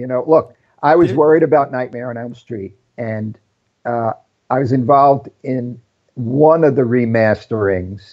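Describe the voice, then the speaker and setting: A man with an ordinary speaking voice speaks at a medium pitch and a moderate pace, with ordinary pitch variation. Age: 60s. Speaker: film cinematographer. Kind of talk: casual interview conversation. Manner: self-deprecating joker.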